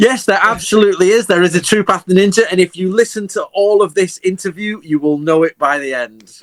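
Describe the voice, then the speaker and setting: A man with an English accent speaks at a fairly quick pace and a high pitch, with hardly any pauses. The sound is dry and close, with no echo. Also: ordinary pitch variation. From England. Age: 40s. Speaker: historian. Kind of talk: interview.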